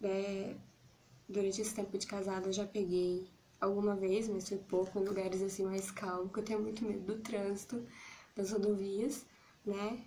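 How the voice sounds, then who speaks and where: A woman at a moderate pace with monotone, flat intonation, long, frequent pauses, and light background noise. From Brazil. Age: 30s. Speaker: YouTuber. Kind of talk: casual vlog monologue. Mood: relaxed, a bit shy, smiling. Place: home room. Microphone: phone near.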